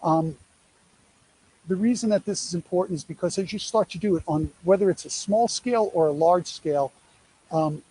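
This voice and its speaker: With a New York accent, a man speaks in a high pitch and a dark, mellow tone with ordinary pitch variation. He leaves long, frequent pauses, and the sound is dry and close with no echo. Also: moderate pace. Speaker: presenter on athlete name-image-likeness deals. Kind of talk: presentation to an audience. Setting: live event at a sports field, streamed on social media. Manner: conversational, many fillers.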